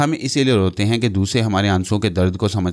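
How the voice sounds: A natural reading voice carries ordinary pitch variation here.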